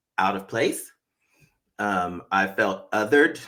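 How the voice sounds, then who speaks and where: A man speaks very slowly in a fairly low voice, on a very clean recording with a silent background. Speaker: show host sharing recovery story. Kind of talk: interview testimony. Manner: halting.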